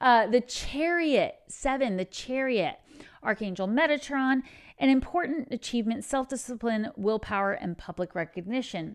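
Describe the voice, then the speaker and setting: A woman with a slight Texan accent speaks at a fairly slow pace, her intonation lively. The recording is very clean, with a silent background. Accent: Texas accent, slight. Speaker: tarot reader and spiritual coach. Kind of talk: tarot reading. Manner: casual, conversational.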